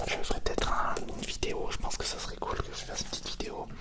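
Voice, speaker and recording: A man whispers at a fairly quick pace. Noticeable background noise runs underneath. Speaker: ASMR content creator. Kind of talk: casual ASMR unboxing, whispered talk to camera. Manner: soft-spoken, whispering.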